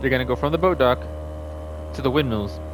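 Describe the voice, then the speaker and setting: Over noticeable background noise, a man talks very fast in a fairly low pitch with very wide pitch swings. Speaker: gaming youtuber. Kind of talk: gameplay tutorial. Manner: casual.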